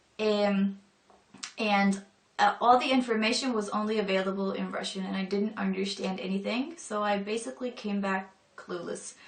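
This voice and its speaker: Over noticeable background noise, a woman talks at a moderate pace with medium pitch and ordinary pitch variation. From northern Europe. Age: 20s. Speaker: convert to Islam. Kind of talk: personal testimony. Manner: casual, hesitant with fillers.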